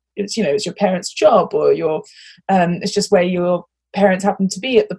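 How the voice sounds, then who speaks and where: This is a woman with a medium-pitched voice. She sounds somewhat breathy. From international upbringing, British passport. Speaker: podcast host. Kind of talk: casual chat. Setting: recording inside a wardrobe at home.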